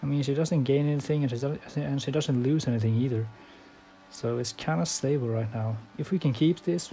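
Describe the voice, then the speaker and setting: A man with a non-native accent speaks at a moderate pace. His pitch is fairly high, with ordinary variation. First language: not English. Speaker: sim racing gamer. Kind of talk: gameplay commentary. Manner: halting.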